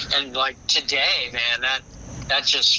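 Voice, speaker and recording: There is noticeable background noise. A man is speaking. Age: 70s. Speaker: photographer. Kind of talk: casual interview.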